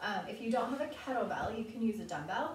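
A woman's voice, with normal pitch movement, comes through clear background noise and an audible room echo. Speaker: fitness instructor. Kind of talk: workout tutorial. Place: home room. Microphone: camera far.

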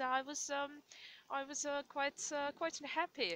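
Speaking with a Russian accent, this voice has a bright, sharp tone and fairly even intonation, recorded dry with no echo. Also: woman. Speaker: video blogger. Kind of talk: casual vlog. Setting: outdoors, walking in snowy forest. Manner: hesitant, many fillers. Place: forest. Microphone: phone near.

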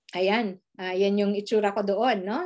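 A woman talks at a moderate pace. The background stays quiet. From Philippines. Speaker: skincare distributor; presenter. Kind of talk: sales presentation. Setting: screen-share video presentation. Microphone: video call.

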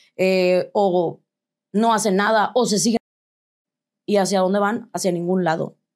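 Speaking with a Mexican accent, a woman talks at a fairly slow pace with monotone, flat intonation, very even loudness and long, frequent pauses over a quiet background. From Mexico. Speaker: tattoo artist; interview guest. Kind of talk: interview testimony; interview answer. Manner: halting. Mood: reflective, candid personal story. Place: studio.

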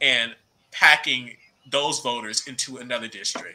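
At a fairly slow pace, a man talks with an American accent in a medium pitch. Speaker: young party official. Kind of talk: panel discussion.

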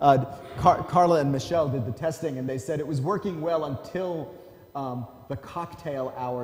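Speaking at medium pitch and a moderate pace, a man sounds animated, with lively intonation. Audible room echo and light background noise come through. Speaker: professor and vision scientist; professor. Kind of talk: academic lecture. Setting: lecture hall with audience. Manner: animated, humorous. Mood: relaxed, lightly humorous. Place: hall.

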